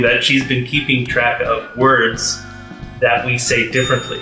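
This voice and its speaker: Clear music plays in the background with audible room echo. A man with an American accent speaks at a fairly slow pace. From United States. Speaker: vlogger host. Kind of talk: casual talk to camera. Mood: friendly, playful. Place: home room.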